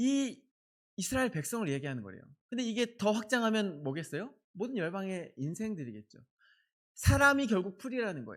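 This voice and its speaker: A man speaks fairly quickly with high pitch and lively intonation. The recording is very clean, with a silent background. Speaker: pastor. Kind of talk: sermon. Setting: church. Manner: speeds up when excited.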